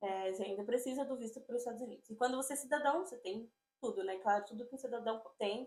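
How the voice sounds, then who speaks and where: A woman talks at a very fast pace. Her high pitch shows ordinary variation. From Brazil, São Paulo (Diadema). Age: 20s. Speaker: immigrant interviewee. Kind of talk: interview.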